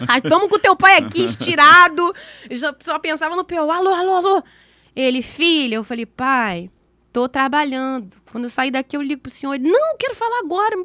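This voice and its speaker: In a dry, close recording with no echo, a woman uses a raised, projected voice at high pitch, with very wide pitch swings and an animated, bright, sharp tone. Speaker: podcast guest sharing faith story. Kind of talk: testimony. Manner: fast.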